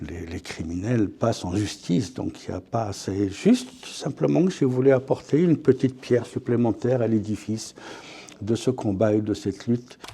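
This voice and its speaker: Lively intonation from a man at a medium pitch and moderate pace. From France. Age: 60s. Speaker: author. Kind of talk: interview. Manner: hesitant, repeats words.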